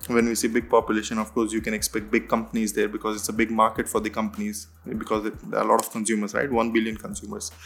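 A man with an Indian accent speaks at a very fast pace, his intonation fairly even. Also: medium pitch for a man. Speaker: head of growth in digital marketing. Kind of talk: podcast interview. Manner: hesitant with frequent fillers.

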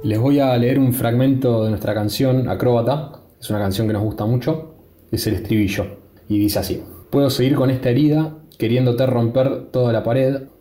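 Somewhat breathy, dark and mellow in tone, at a moderate pace with ordinary pitch variation. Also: man, medium pitch for a man. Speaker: guitarist and songwriter. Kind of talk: casual interview answer. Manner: halting, hesitant.

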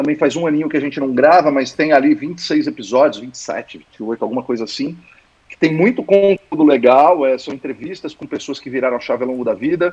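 A man with an ordinary speaking voice, a fairly high pitch and ordinary pitch variation, at a fairly quick pace with big swings in loudness. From Santos, São Paulo coast, Brazil. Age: 40s. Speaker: founder of a corporate learning lab, former executive. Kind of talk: casual interview.

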